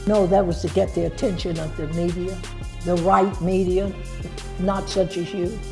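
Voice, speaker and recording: Clear background music under a woman's moderately paced speech. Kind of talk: interview answer. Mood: defiant, sassy. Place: home room. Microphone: lapel.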